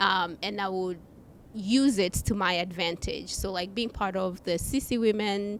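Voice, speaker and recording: A woman speaks at a fairly slow pace and medium pitch. Her intonation stays fairly even. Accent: African. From Africa. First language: not English; English is her third language. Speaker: customer experience executive. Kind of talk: podcast interview.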